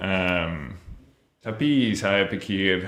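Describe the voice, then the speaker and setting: Audible room echo surrounds a man with an English accent speaking at a very slow pace. His fairly low voice has a bright, sharp tone. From Australia (Melbourne). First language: English (speaking Indonesian). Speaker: language student. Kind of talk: interview. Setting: podcast. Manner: halting, many fillers.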